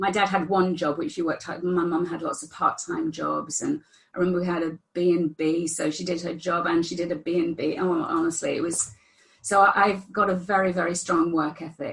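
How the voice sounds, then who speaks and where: Somewhat breathy, a woman's fairly low voice moves at a fairly quick pace. Her intonation stays fairly even. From northern England. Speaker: therapist. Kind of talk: interview.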